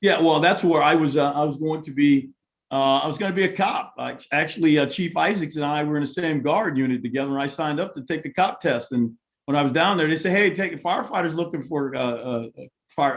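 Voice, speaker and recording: Talking at a very fast pace, a man with an American accent uses a fairly high pitch and ordinary pitch variation. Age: 60s. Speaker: mayoral candidate, retired fire captain. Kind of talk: candidate forum conversation. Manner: halting, many fillers.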